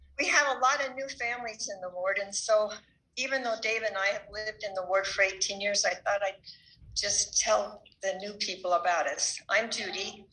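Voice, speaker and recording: A woman at a medium pitch, with ordinary pitch variation and a moderate pace, in audible room echo. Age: 70s. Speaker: church member giving a talk. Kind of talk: church talk.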